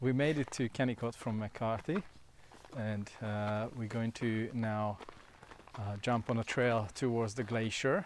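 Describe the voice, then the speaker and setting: A man speaks at a medium pitch and a fairly slow pace. His intonation stays fairly even. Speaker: travel vlogger. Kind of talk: casual vlog narration; scripted narration. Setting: outdoors. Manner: loud.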